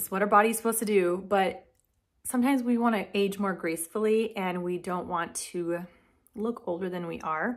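The delivery moves at a moderate pace with ordinary pitch variation. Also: woman, medium pitch for a woman.

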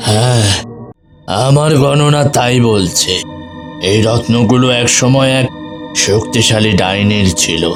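A man puts on a cartoonish character voice at a medium pitch and fairly slow pace. Clear music plays in the background.

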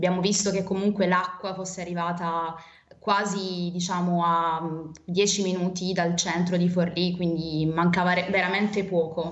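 A woman's fairly low, monotone, flat voice at a fairly slow pace, with audible room echo. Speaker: university student volunteer; remote interviewee. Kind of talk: interview. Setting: remote video link. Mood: calm, concerned. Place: home room. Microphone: video call.

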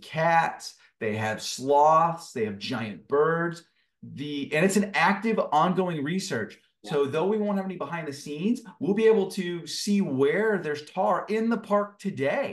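A man's lively intonation at a fairly slow pace. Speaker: guest. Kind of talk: interview answer. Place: home room. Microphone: video call.

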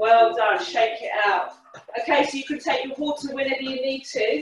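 The speech moves at a moderate pace, with audible room echo and light background noise. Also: woman. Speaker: fitness instructor. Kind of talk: workout class instruction. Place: kitchen. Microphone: webcam.

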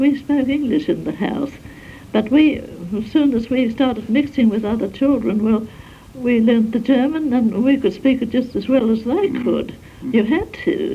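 A woman with an Australian accent and a high pitch talks at a moderate pace. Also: ordinary pitch variation. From South Australia. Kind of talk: interview answer. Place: home room. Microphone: old recording.

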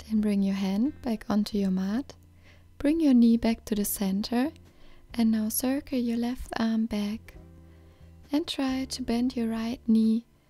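A woman speaks at a fairly slow pace with ordinary pitch variation. The sound is dry with no echo, and faint music plays in the background. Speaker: yoga instructor. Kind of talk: tutorial. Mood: calm, friendly. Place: open country.

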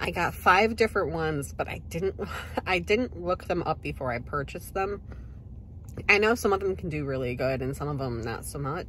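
With very wide pitch swings and vocal fry, a woman talks at a fairly quick pace in a very deep, low pitch, the sound dry with no echo and light background noise. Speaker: vintage reseller vlogger. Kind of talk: casual vlog chat. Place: car. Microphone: phone near.

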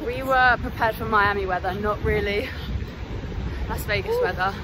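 At a moderate pace, a woman speaks in a dry sound with no echo, with noticeable background noise behind her. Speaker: vlogger. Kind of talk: casual vlog chat. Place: street. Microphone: phone near.

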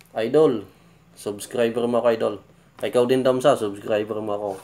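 A man talks at a moderate pace. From Philippines. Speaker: YouTube reaction vlogger. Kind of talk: casual reaction commentary. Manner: halting, many fillers. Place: home room. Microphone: phone near.

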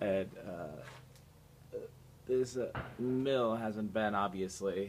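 Over light background noise, a man speaks at a fairly low pitch with fairly even intonation. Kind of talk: casual vlog narration. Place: factory. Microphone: phone near.

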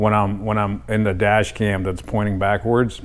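Music plays in the background as a man speaks in a fairly low voice at a moderate pace. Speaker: DIY mechanic vlogger. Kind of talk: casual vlog chat. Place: garage. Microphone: lapel.

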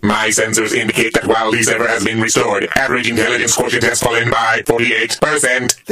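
Putting on a character voice, a man talks at a fairly quick pace in a medium pitch. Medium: machinima. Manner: deadpan, clinical.

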